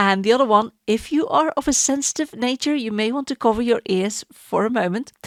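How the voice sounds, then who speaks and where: With a Dutch accent, a woman speaks at a moderate pace with ordinary pitch variation, her voice dry and close with no echo on a very clean recording with a silent background. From Netherlands. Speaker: podcast host. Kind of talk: casual monologue.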